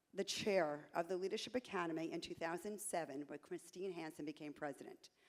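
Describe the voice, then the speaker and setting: Speech comes at a fairly quick pace. It is delivered in a New York accent. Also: woman, fairly low pitch for a woman, ordinary pitch variation. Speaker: realtor, association candidate. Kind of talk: candidate speech at a conference.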